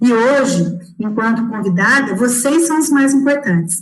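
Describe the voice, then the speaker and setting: A woman's fairly high voice at a moderate pace, lively in intonation, with audible room echo and noticeable background noise. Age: 40s. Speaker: education analyst, former teacher. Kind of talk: closing remarks in an online live talk. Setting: online live stream.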